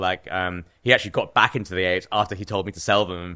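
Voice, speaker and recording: A man's fairly low voice with a bright, sharp tone and an English accent, on a very clean recording with a silent background. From England (Cambridge). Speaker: professional trader and artist. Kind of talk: casual interview.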